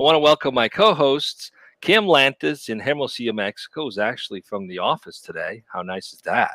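A man talks at a fairly quick pace. His loudness swings widely, and the sound is dry and close with no echo. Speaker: webcast host. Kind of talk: live webcast interview. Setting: video call.

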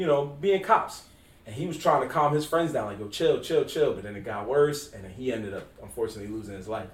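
A man speaks fairly quickly at a fairly high pitch, his tone animated, with very wide pitch swings. His loudness swings widely over noticeable background noise. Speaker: podcast host. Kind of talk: casual podcast chat. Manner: animated, casual, slangy.

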